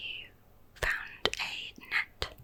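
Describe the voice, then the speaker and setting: A woman whispers in a calm tone over noticeable background noise. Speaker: ASMR creator. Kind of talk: whispered ramble about favourite London activities. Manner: whispered, calm, intimate.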